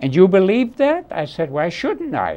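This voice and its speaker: Speaking at a fairly slow pace with a German accent, a man has a high voice that makes very wide pitch swings. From Germany. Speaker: Holocaust escapee and war veteran. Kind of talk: testimony.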